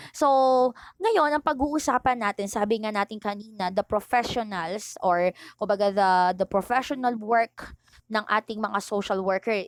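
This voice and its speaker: A woman talks at a moderate pace in a plain, everyday voice with a fairly high pitch. The sound is dry and close, with no echo. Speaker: teacher. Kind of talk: online lecture. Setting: recorded online video lesson.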